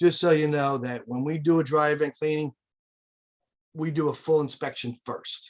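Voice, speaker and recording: A man with a fairly high pitch speaks at a moderate pace, his intonation fairly even. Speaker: air duct cleaning business owner. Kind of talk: webinar presentation.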